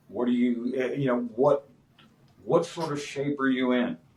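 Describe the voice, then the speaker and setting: Noticeable background noise sits under the recording. A man talks at a moderate pace and medium pitch. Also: long, frequent pauses. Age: 50s. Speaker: martial arts instructor. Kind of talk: podcast interview. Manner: casual, filler-heavy.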